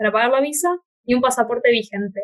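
The sound is dry and close, with no echo. A woman speaks at a high pitch. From Argentina. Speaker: podcast host. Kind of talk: casual chat.

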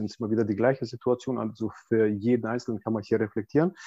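Against a quiet background, a man speaks in a dark, mellow tone. His pitch sits in the medium range. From Balkans. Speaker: personal development coach. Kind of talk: interview. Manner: halting, many fillers.

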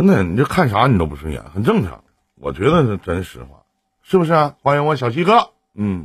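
With very wide pitch swings and big swings in loudness, a man talks at a fairly quick pace with vocal fry. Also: medium pitch for a man. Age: 40s. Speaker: live-stream relationship advice host. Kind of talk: call-in advice chat. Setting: live stream. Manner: animated.

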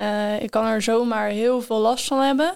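A woman with a fairly high pitch speaks in a fairly even intonation. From Netherlands, North Holland (Enkhuizen). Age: 20s. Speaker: student with rheumatism. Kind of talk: casual chat.

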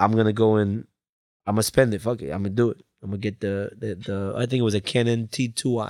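A man talks in an unremarkable speaking voice with an American accent. His pace is fairly quick and his intonation fairly even. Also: fairly low pitch for a man. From Colombia, then Bridgeport, Connecticut from age eleven. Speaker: music video director. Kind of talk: casual interview chat. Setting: studio.

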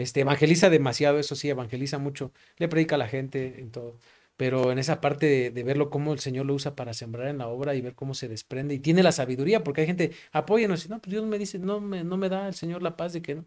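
A man at a very fast pace, fairly high in pitch, with ordinary pitch variation and big swings in loudness. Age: 30s. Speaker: pastor. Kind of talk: casual chat. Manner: halting.

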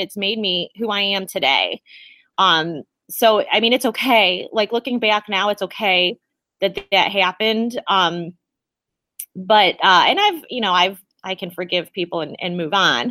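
Lively intonation and a bright, sharp tone mark this moderate-paced voice with an American accent, recorded very cleanly against a silent background in a dry, close sound with no echo. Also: woman. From US Midwest, Ohio. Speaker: podcast host. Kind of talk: casual chat.

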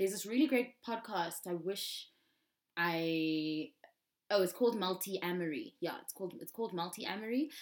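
In a plain, everyday voice, a woman of medium pitch speaks at a moderate pace with lively intonation. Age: 20s. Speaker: musician. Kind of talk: casual chat. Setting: video call.

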